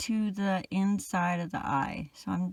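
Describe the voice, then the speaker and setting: Speaking very slowly, a woman sounds somewhat breathy on a very clean recording with a silent background. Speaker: crochet pattern designer. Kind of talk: tutorial. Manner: casual, chatty.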